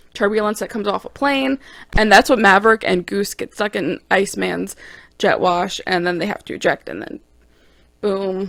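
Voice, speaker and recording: A woman's enthusiastic, medium-pitched voice with vocal fry, ordinary pitch variation and big swings in loudness, at a moderate pace on a very clean recording with a silent background. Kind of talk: casual talk to camera. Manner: chatty, enthusiastic.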